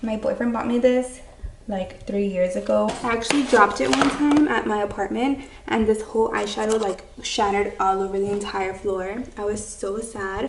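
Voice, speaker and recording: Noticeable background noise sits behind a woman speaking at a moderate pace and medium pitch. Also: ordinary pitch variation. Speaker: beauty vlogger. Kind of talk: casual chat.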